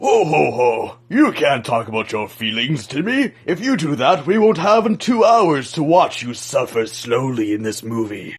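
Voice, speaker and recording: This is a put-on character voice with very wide pitch swings. It keeps a moderate pace with hardly any pauses. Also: man, fairly high pitch for a man. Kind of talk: comedy character sketches. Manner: jovial laugh.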